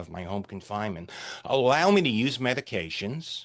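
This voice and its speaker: Vocal fry marks a man's voice as he speaks at a fairly slow pace with very wide pitch swings in a quiet background. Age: 60s. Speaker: retired CEO and ordained minister. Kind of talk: interview. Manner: animated.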